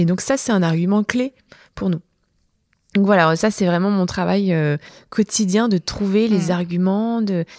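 The speech has long, frequent pauses, ordinary pitch variation and very even loudness on a very clean recording with a silent background. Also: woman, medium pitch for a woman. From southern France, Montpellier. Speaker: entrepreneur, start-up co-founder. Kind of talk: interview.

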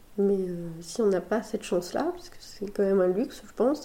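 A woman speaks with ordinary pitch variation. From France, Sarthe (Le Mans). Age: 30s. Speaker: pastry chef and business owner. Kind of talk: casual interview. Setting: recorded at host's home.

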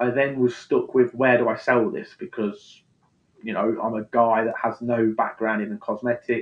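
Speaking at a mid-range pitch, a man keeps a moderate speed and normal pitch movement. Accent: East Midlands. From England, Leicester. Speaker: skincare brand founder. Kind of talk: interview.

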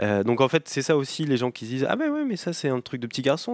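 In a dry, close sound with no echo, a man talks at a very fast pace with ordinary pitch variation. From Normandy, France (Cotentin, near Cherbourg). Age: 30s. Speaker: appliance repair business owner. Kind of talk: interview. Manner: hesitant, many repetitions and fillers.

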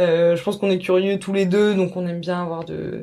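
A woman's fairly low voice, monotone and flat in intonation. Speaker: journalist. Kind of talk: interview.

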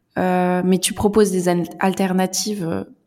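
At a very slow pace, a woman talks with medium pitch. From central France. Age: young. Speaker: French teacher. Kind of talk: interview.

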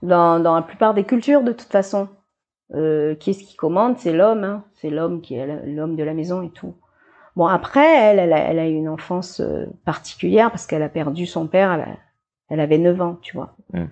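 A woman's unremarkable speaking voice, fairly low in pitch, at a fairly quick pace with ordinary pitch variation. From New Caledonia, Nouméa area. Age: 50s. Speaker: artist and former teacher. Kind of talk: interview.

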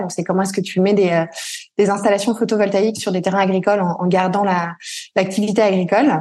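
This woman talks at a fairly quick pace. Her medium-pitched voice has fairly even intonation. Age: 30s. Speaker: entrepreneur and mother. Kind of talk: interview. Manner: halting, many fillers.

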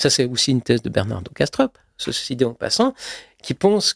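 Very wide pitch swings in a dry, close sound with no echo. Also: man. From Switzerland (Geneva). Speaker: YouTube creator and filmmaker. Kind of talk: interview conversation. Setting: home studio. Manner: halting, frequent repetitions.

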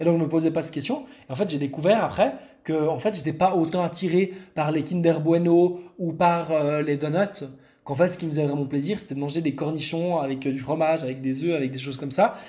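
At a fairly quick pace, a man with a fairly high pitch and a dark, mellow tone talks with ordinary pitch variation. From Lebanon. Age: 20s. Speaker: content creator sharing eating disorder recovery. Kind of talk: interview, personal testimony. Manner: hesitant, many fillers and repetitions.

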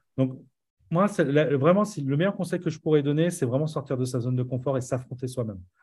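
A fairly high-pitched man talks at a fairly quick pace, somewhat breathy, with ordinary pitch variation. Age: 40s. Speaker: entrepreneur and musician. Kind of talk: casual interview.

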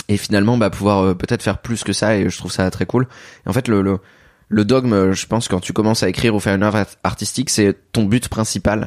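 A man at a very fast pace, fairly low-pitched and monotone, flat in intonation, in a very clean recording with a silent background and a dry, close sound with no echo. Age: 30s. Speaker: manga writer. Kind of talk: casual interview.

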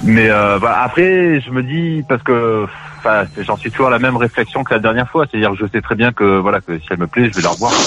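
Against noticeable background noise, a man talks at a fairly quick pace. His medium-pitched voice has lively intonation. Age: 40s. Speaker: radio show caller. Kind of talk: casual chat. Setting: phone call.

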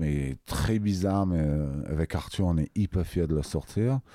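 At a very slow pace, a man speaks with a very deep, low pitch, a dark, mellow tone and ordinary pitch variation, in a dry, close sound with no echo. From England. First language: English (speaking French). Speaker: music producer and label owner. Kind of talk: interview. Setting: recording studio. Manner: halting, many hesitations.

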